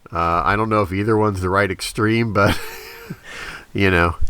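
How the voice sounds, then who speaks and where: A man talks over noticeable background noise. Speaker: podcast co-host. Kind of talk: casual chat.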